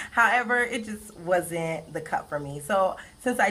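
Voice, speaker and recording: A woman with an American accent speaks with lively intonation over noticeable background noise. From Pompano Beach, Florida. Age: 20s. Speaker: college student. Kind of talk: class speech. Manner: fast.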